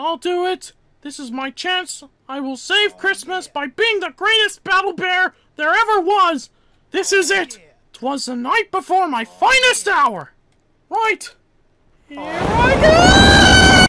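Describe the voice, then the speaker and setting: A cartoonish character voice, whiny and extremely high, at a fairly slow pace. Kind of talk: comic overacting. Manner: frantic, shouty, whiny.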